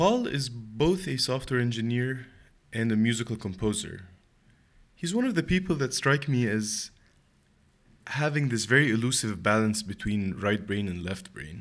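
The intonation rises and falls in a lively way at a moderate pace. The recording is very clean, with a silent background. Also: man, medium pitch for a man. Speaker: podcast host and author. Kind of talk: interview. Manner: warm, enthusiastic.

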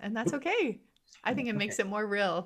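Her intonation lively, a woman speaks. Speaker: podcast host, guest on interview podcast. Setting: home recording.

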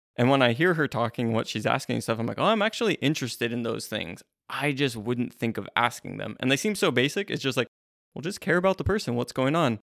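Very fast and with lively intonation, a man of medium pitch speaks on a very clean recording with a silent background, in a dry, close sound with no echo. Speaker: podcast co-host. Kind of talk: casual podcast chat about Bible books. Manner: self-described awkward in small talk.

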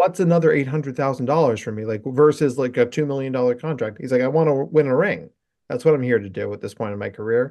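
With an unremarkable speaking voice, a man talks at a fairly quick pace and medium pitch with ordinary pitch variation. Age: 40s. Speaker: psychologist specializing in neurodivergence. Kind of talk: casual chat.

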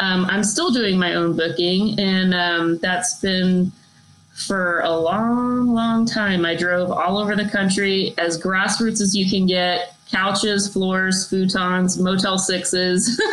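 In an American accent, a woman speaks at a very slow pace with fairly even intonation and very even loudness, while noticeable background noise comes through. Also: medium pitch for a woman. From Dallas, Texas. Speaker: singer-songwriter. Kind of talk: casual interview chat.

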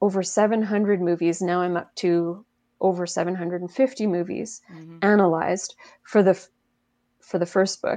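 Against a quiet background, a woman with a medium pitch and a dark, mellow tone speaks at a very slow pace with fairly even intonation and big swings in loudness. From Quebec, Canada. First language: French. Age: 40s. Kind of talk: interview, explaining film analysis.

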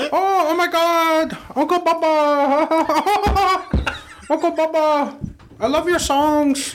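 A put-on character voice speaks at a high pitch and a very slow pace. Background noise is clear. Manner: exaggerated, gushing.

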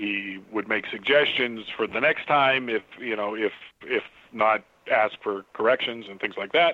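An ordinary speaking voice from a man, medium in pitch, fairly slow, with ordinary pitch variation. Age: 50s. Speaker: comic book artist. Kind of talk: interview. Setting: Skype call.

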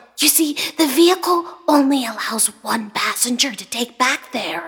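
A woman speaks at a moderate pace in a high pitch with lively intonation. Her loudness swings widely. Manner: kind, then scared and tearful.

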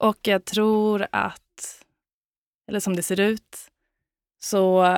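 On a very clean recording with a silent background, a woman of medium pitch talks in a monotone, flat intonation with a dry, close sound and no echo. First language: Swedish (speaking Danish). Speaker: dancer and choreographer. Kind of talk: casual chat.

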